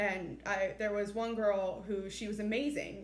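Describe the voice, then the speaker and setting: The speech moves at a fairly slow pace with fairly even intonation. Noticeable background noise and audible room echo surround it. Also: woman. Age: young. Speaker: former mock trial student. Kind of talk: interview testimony. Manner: loud.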